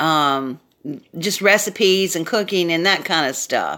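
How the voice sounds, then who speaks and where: A woman is speaking. She has a Southern US accent. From US South, South Carolina. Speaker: craft YouTuber. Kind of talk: casual live stream chat. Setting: live video stream. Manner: loud; animated.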